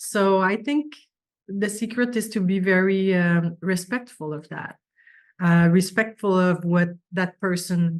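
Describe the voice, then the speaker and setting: Speaking in a French accent, a woman goes at a very slow pace. Her voice sits at medium pitch. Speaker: business owner. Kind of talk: interview.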